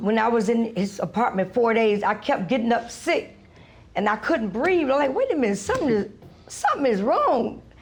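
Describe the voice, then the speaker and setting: The speaker sounds animated, with lively intonation, a moderate pace and very even loudness. Audible room echo and noticeable background noise fill the recording. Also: woman, fairly high pitch for a woman. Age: 60s. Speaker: plaintiff in small claims case. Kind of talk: courtroom testimony. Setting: TV courtroom.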